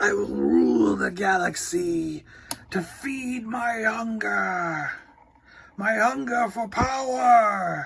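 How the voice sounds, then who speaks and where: A man's put-on character voice, high in pitch and very slow in pace. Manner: menacing, bombastic.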